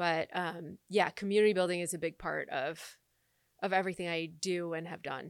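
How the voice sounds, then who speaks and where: With an American accent and an ordinary speaking voice, a woman talks at a moderate pace, her pitch fairly low and intonation fairly even, on a very clean recording with a silent background. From Michigan, US Midwest. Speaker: entrepreneur and coach. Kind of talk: casual chat.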